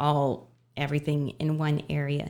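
In an American accent, a woman speaks with a very deep, low pitch and a dark, mellow tone. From Texas, Dallas. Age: 30s. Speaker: festival organizer. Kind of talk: casual chat.

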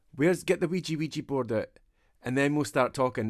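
The recording is very clean, with a silent background. A man speaks with a Scottish accent and lively intonation. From Scotland. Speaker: podcast co-host. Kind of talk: casual chat.

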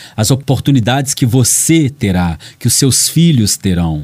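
A man's somewhat breathy voice, medium in pitch with a dark, mellow tone, moves at a fairly slow pace. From Brazil, Belo Horizonte. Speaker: radio host. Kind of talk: radio monologue on social issues.

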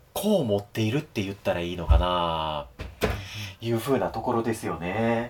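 Over noticeable background noise, a man speaks at a moderate pace with a fairly low pitch and lively intonation. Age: 40s. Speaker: podcast co-host. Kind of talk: casual chat.

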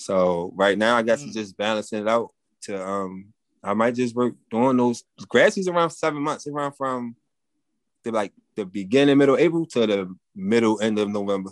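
Lively intonation and a moderate pace mark an ordinary speaking voice. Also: man, medium pitch for a man, quiet background. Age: 30s. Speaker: formerly incarcerated landscaping business owner. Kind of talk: casual interview.

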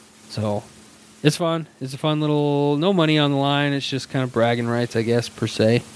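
A man with an ordinary speaking voice talks at a moderate pace, with a fairly high pitch and ordinary pitch variation. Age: 30s. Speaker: podcast co-host. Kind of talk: casual chat.

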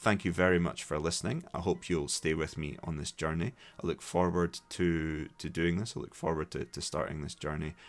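Very deep and low, a man's voice carries a Scottish accent with fairly even intonation. He barely pauses, and the recording is very clean with a silent background. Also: fairly quick pace. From Scotland, Dundee. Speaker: English teacher and podcast host. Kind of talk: solo podcast monologue for learners. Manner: hesitant, with frequent repetitions.

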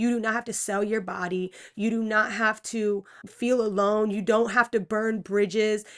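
A woman's fairly high voice with an American accent and flat, monotone intonation. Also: moderate pace. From Pennsylvania. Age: 20s. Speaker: podcast host. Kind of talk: testimony. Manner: casual.

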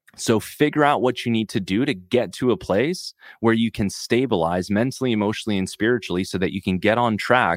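The tone is animated, with ordinary pitch variation and a moderate pace. The sound is dry and close, with no echo. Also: man. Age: 30s. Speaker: sobriety coach and podcast host. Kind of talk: solo podcast monologue.

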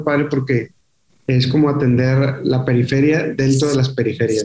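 A man with a dark, mellow tone and a somewhat breathy voice speaks at a fairly slow pace in a monotone, flat intonation. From Monterrey, northern Mexico. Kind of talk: casual interview.

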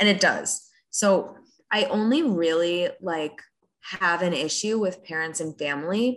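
A woman with an American accent and a normal speaking voice, medium pitch, lively intonation and a fairly slow pace. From Rockland County, New York. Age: 20s. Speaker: wealth management worker. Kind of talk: casual chat.

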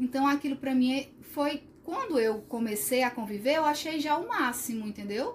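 Over noticeable background noise, a woman with a high pitch talks at a moderate pace with hardly any pauses. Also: ordinary pitch variation. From Sobral, Ceará, Brazil. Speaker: occupational therapist. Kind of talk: casual chat.

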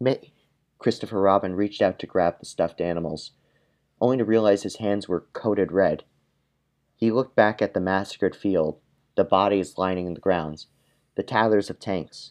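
Against a quiet background, a man talks at a moderate pace with fairly even intonation and long, frequent pauses. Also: fairly low pitch for a man. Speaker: podcast co-host. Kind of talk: reading aloud a comedic fan-fiction story. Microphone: poor mic, sounds like talking through a shoebox on an old cell phone.

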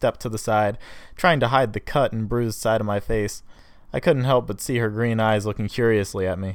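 The reading-aloud here is in a natural voice, with intonation held fairly even.

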